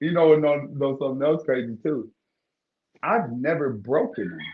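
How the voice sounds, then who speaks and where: Animated and lively in intonation, a man with an American accent speaks in a fairly high voice. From Ohio, Cleveland. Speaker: bare-knuckle fighter. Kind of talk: casual interview.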